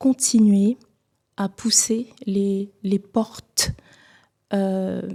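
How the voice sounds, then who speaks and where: In a Cameroonian accent, a woman speaks at a very slow pace with long, frequent pauses, a medium pitch, a dark, mellow tone and monotone, flat intonation, the sound dry and close with no echo. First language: Bulu (speaking French). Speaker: singer. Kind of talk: TV interview.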